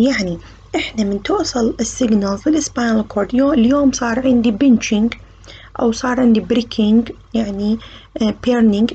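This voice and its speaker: At a moderate pace, a woman with an Iraqi accent speaks in a fairly high pitch with ordinary pitch variation. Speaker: medical university lecturer. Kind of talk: lecture. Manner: code-switching between Arabic and English terms.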